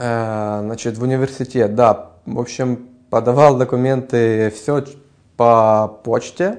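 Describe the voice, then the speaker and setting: Very slow pace from a man at medium pitch. His intonation stays fairly even. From Ukraine. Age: 20s. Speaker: music student. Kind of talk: interview. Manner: hesitant, many filler sounds.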